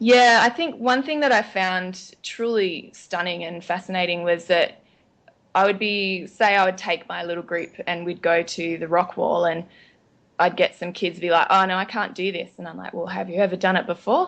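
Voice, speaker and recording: A woman with an Australian accent speaks at a medium pitch and moderate pace, using ordinary pitch variation and big swings in loudness. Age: 30s. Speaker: nutritionist and teacher. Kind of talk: podcast interview. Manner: casual, frequent um fillers.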